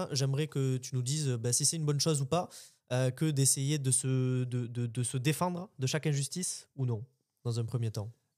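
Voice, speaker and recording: Here a man talks with a southern French accent at a moderate pace. His pitch is medium with ordinary variation, and the recording is very clean with a silent background. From southern France. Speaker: podcast co-host. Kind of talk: casual discussion.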